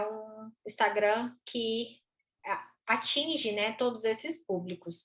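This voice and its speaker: A woman speaks at a fairly high pitch. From Goiás, central Brazil (Goiânia). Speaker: veterinary neurologist and university professor. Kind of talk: educational conversation.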